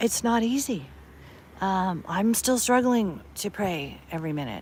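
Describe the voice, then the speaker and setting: Speaking at a moderate pace with an American accent, a woman at a medium pitch lets her voice swing very widely up and down. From US West Coast, Berkeley, California. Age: 60s. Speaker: online streamer. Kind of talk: casual chat. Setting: outdoors.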